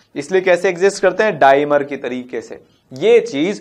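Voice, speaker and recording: This is a man speaking. The background is quiet. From India. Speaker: chemistry teacher. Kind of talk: lecture. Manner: animated. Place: studio.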